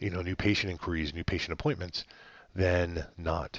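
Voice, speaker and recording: A man speaks in a very deep, low pitch. The background is quiet. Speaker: web design agency co-founder. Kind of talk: website review walkthrough. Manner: fast; hesitant with many fillers.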